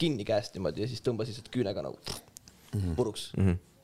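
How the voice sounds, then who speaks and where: Using a plain, everyday voice, a man talks at a medium pitch with ordinary pitch variation. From Estonia, Tartu. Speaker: rapper. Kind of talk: casual chat. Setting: studio.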